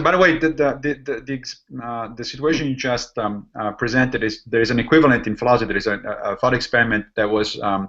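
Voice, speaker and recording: A man speaks with an Italian accent in a bright, sharp tone at a medium pitch. His pace is very fast, with lively intonation and hardly any pauses. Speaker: podcast host, philosopher. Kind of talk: casual chat.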